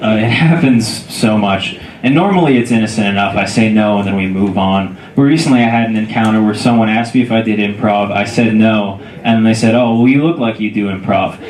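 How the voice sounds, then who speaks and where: A medium-pitched man with an American accent at a fairly quick pace, over noticeable background noise. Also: ordinary pitch variation. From Southern California. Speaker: standup comedian. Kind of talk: standup comedy set in front of a live club audience. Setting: comedy club.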